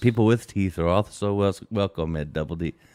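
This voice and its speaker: A man talks at a fairly quick pace in a mumbling, put-on character voice. His pitch is very deep and low, with ordinary variation. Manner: comic.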